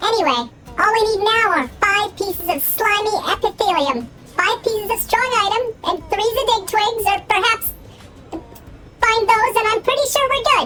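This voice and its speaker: A squeaky put-on character voice with an extremely high pitch speaks at a moderate pace over clear background noise. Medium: game stream. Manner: chirpy, overexcited, talks up high.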